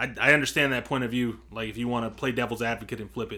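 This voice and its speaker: On a very clean recording with a silent background, a man with an American accent speaks in a bright, sharp tone with vocal fry. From US, Mexican heritage. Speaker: podcast co-host. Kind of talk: casual chat.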